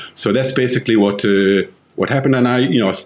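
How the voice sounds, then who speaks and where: A man talks at a very fast pace. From London, England. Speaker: author and tech entrepreneur. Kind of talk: podcast interview. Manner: hesitant, many fillers.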